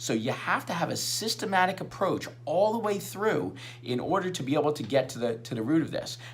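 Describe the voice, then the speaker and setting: There is noticeable background noise behind this man. He speaks at a fairly quick pace with very wide pitch swings. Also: fairly high pitch for a man. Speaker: chiropractor. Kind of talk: radio interview. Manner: fast; halting.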